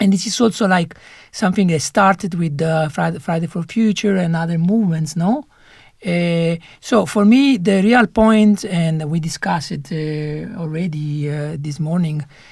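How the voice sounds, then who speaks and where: The speaker has an Italian accent and a moderate pace. The recording is very clean, with a silent background. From Italy. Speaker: panelist. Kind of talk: panel discussion. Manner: halting, many fillers.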